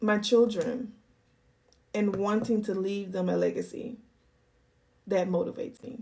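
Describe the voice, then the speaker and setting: A woman speaks at a fairly slow pace with long, frequent pauses and fairly even intonation. Her tone is dark and mellow, with vocal fry. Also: medium pitch for a woman. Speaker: YouTuber answering viewer questions. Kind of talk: casual Q&A monologue. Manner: calm, measured.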